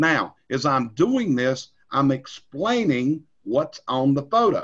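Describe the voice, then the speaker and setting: A man speaks in a North Carolina accent at a fairly high pitch. His pitch swings are very wide. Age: 60s. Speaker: industry trainer. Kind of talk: training webinar. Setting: recorded screen session.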